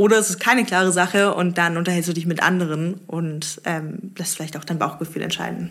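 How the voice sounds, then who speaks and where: Fairly low in pitch, a woman speaks in a plain, everyday voice at a fairly quick pace with fairly even intonation. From Stuttgart, Germany. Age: 20s. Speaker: startup founder. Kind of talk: interview. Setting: coworking space.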